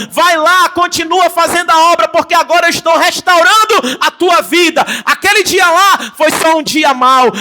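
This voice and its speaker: Over noticeable background noise, a man with a Brazilian accent projects a raised voice at an extremely high pitch, moving at a moderate pace in an animated tone. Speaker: pastor. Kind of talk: sermon.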